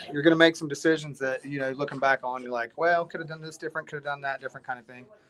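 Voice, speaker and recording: Over noticeable background noise, a man with an Appalachian accent talks at a very fast pace with fairly even intonation. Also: fairly high pitch for a man, big swings in loudness. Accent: Appalachian American. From West Virginia. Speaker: hard rock band musician. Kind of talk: casual chat.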